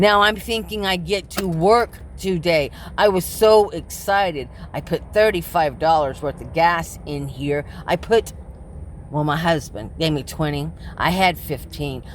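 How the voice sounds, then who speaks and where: A woman's fairly low voice with vocal fry, at a fairly slow pace and with ordinary pitch variation. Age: 60s. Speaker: vlogger living in her car, delivery driver. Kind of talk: personal vlog monologue. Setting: inside her parked car.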